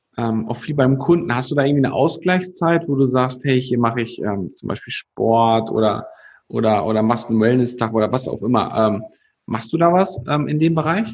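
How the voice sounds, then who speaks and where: A man talks in an ordinary speaking voice at medium pitch, keeping a moderate pace with lively intonation. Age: 20s. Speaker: podcast host. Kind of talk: interview. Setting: video call.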